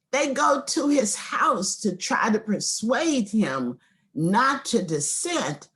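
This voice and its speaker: Her voice is fairly high, with very wide pitch swings. This woman speaks at a very slow pace. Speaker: law professor. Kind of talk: lecture. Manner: animated.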